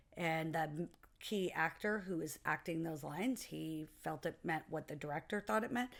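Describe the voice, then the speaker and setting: A woman talks at a moderate pace, her pitch varying in an ordinary way, on a very clean recording with a silent background. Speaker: podcast co-host, producer and actor. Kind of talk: casual podcast discussion. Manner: loud.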